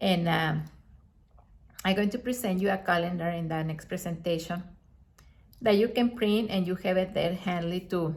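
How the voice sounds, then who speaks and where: In a non-native accent, a woman speaks at a moderate pace with a somewhat breathy, medium-pitched voice, fairly even intonation and long, frequent pauses. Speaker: astrologer. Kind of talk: video monologue. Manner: halting.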